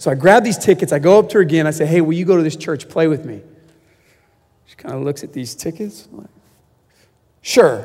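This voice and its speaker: An animated man with vocal fry speaks at a fairly high pitch, using lively intonation, big swings in loudness, and long, frequent pauses. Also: fairly quick pace. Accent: American. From US West Coast, San Diego. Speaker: guest preacher, camp ministry leader. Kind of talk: sermon. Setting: church stage.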